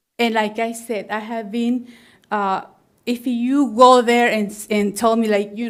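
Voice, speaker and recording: Speaking with a strong non-native accent, a woman uses a fairly high pitch and a monotone, flat intonation on a very clean recording with a silent background. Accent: very strong foreign. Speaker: plant nursery owner and realtor. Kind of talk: public testimony at planning meeting. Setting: public meeting room. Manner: halting, many fillers and restarts.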